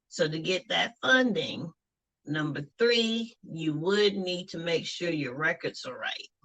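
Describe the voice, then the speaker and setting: Her tone is bright and sharp, her pitch fairly low for a woman. She speaks very slowly with ordinary pitch variation. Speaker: finance expert. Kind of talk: interview.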